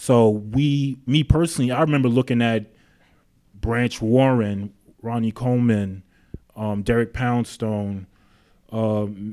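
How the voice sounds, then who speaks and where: In a New York accent, a man speaks at a medium pitch. His intonation stays fairly even. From New York City (Queens). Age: 30s. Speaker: gym owner and personal trainer. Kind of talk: interview.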